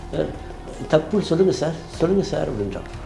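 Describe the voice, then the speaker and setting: Background music can be heard. There is audible echo from the room. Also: man. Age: 60s. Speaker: retired professor. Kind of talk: interview testimony. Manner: animated.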